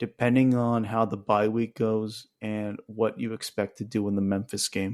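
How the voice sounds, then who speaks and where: Against a silent background in a very clean recording, a man with a fairly low pitch speaks in a monotone, flat intonation. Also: moderate pace. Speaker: sports podcast host. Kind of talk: solo sports reaction podcast.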